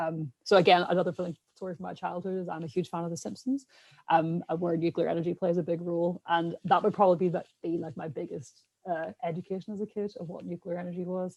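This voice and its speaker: A woman's fairly low voice with a strong Irish accent, very fast and fairly even in intonation, dry and close with no echo. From Ireland. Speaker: scientist podcast co-host. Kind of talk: casual panel discussion.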